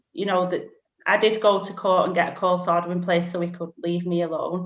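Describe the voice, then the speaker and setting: A woman with a Lancashire accent talks at a fairly quick pace. Her pitch is fairly low. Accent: Bolton. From northern England, Bolton. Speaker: single parent sharing her story. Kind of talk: interview testimony.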